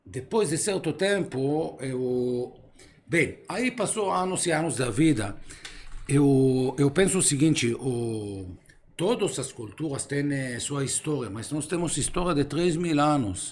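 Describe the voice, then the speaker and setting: Lively in intonation, a man speaks at a fairly high pitch. His pace is very slow. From Israel. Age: 50s. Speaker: philosopher. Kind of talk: casual chat. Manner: halting.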